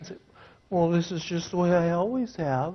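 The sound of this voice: This put-on character voice whines at a middle pitch and a moderate pace.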